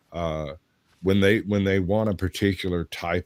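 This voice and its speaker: A man with an American accent speaks at a moderate pace with fairly even intonation, in a very clean recording with a silent background and a dry, close sound with no echo. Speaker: voiceover artist and livestream co-host. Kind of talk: casual chat.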